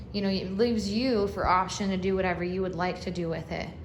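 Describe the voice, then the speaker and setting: Recorded with audible room echo and noticeable background noise, a woman speaks. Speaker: real estate agent. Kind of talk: property walkthrough tour. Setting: walking through a house, partly outdoors.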